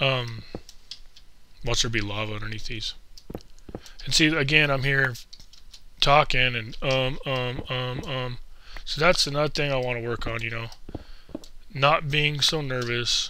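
Bright, sharp tone at a fairly slow pace, with fairly even intonation, long and frequent pauses, and audible room echo. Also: man, medium pitch for a man. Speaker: gaming YouTuber. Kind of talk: casual gameplay commentary. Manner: hesitant, many fillers.

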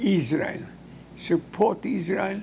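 Over light background noise, a man speaks at a very slow pace with lively intonation. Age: 80s+. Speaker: Holocaust survivor. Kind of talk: interview answer. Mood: earnest, emotional testimony. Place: home room. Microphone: lapel.

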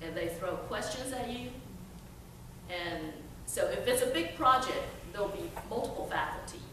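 A woman talks at a moderate pace. Noticeable background noise and audible room echo are present. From China, raised from teens in Chattanooga, Tennessee. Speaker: workforce development trainer. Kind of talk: storytelling talk. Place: hall. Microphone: podium.

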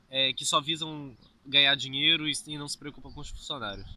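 At a moderate pace, a man speaks in a high pitch, and the sound is dry with no echo. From Brazil. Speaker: YouTuber, immigrant hotel worker; YouTuber. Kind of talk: casual vlog chat. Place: open country. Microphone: phone near.

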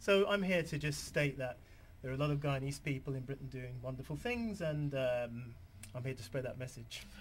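Somewhat breathy speech with a London accent, moderate pace, ordinary pitch variation and light background noise. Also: man, fairly high pitch for a man. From London, England. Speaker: author; TV guest. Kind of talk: TV interview. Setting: TV studio. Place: studio.

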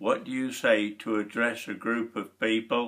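Speaking in a Lincolnshire accent, a man uses a bright, sharp tone. He goes at a very slow pace against a quiet background. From Lincolnshire, England. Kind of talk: reading and answering questionnaire. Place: home room. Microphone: webcam.

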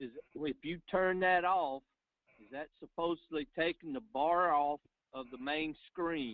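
This is an unremarkable speaking voice with ordinary pitch variation. It moves at a fairly slow pace. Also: man, fairly high pitch for a man. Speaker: webinar attendee asking questions. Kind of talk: technical Q&A.

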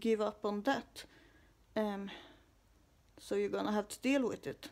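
A woman with a fairly high-pitched voice. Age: 20s. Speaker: vlogger. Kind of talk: personal vlog monologue. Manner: halting, many fillers.

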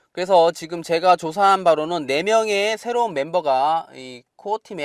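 This man has a high pitch and lively intonation at a moderate pace. The sound is dry and close with no echo, on a very clean recording with a silent background. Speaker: crypto YouTuber. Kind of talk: monologue video update.

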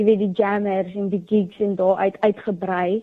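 A woman's normal speaking voice, fairly high in pitch. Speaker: young entrepreneur, student. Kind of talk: radio interview.

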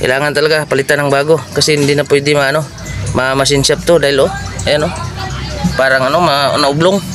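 Over clear music in the background, a man speaks at a very fast pace in a monotone, flat intonation, with very even loudness and a dry sound with no echo. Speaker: mechanic vlogger. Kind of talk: tutorial. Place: garage. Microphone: phone near.

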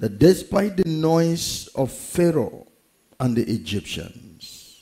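Very slow speech from a man, dark and mellow with vocal fry and very wide pitch swings, against a quiet background. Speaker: pastor. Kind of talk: prayer before sermon. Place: church. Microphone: headset.

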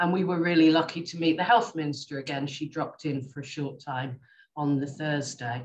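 A fairly quick pace in an English accent. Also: woman, very deep, low pitch for a woman, ordinary pitch variation, quiet background. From England. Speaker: specialist nurse; panelist. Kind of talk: presentation and panel answers. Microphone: video call.

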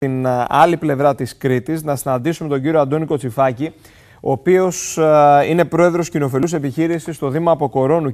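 With an unremarkable speaking voice, a man talks at a moderate pace and fairly high pitch, showing ordinary pitch variation over a quiet background. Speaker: TV news presenter. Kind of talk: TV news interview. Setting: TV studio. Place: studio. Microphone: lapel.

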